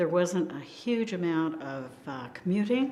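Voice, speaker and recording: There is audible room echo as a woman with an American accent speaks at a fairly slow pace in a fairly low pitch. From US Northeast, Hudson Valley New York. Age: 80s+. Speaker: local resident, oral history interviewee. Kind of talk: oral history interview. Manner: hesitant, with frequent ums.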